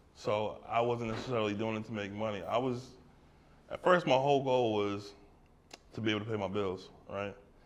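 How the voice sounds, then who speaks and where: Speaking at a fairly quick pace with long, frequent pauses, a man with an American accent has a medium-pitched voice. Audible room echo is present. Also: ordinary pitch variation. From Brooklyn, New York. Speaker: artist. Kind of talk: audience Q&A at gallery talk. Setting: art gallery with small live audience.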